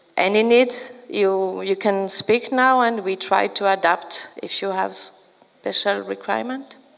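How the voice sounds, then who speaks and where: A woman with a French accent speaks at a fairly slow pace with hardly any pauses. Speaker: librarian trainer and consultant. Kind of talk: conference talk. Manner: halting, many fillers.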